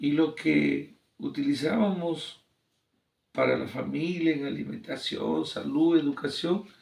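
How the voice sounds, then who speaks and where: A man speaks very slowly, with long, frequent pauses. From Peru, Ancash region (Santa province). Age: 60s. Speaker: engineer and teacher. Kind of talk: interview.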